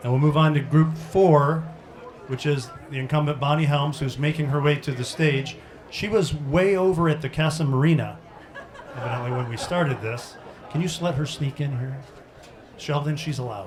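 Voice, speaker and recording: A man's voice of ordinary pitch variation, with audible room echo and noticeable background noise. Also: fairly high pitch for a man, moderate pace. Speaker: forum moderator. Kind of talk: public forum moderation. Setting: restaurant event with audience and PA speakers. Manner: soft, not loud.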